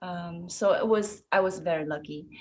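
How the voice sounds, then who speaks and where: With a Chinese accent, a woman speaks at medium pitch and a fairly slow pace, her pitch varying in an ordinary way. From China, Shanghai. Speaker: ballet dancer and choreographer. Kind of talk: interview. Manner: halting, many fillers.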